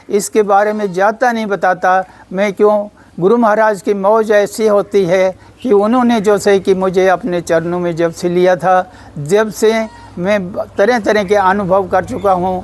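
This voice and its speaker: A man's high-pitched voice holds fairly even intonation as noticeable background noise sounds behind it. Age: 80s+. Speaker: devotee. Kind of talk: testimony.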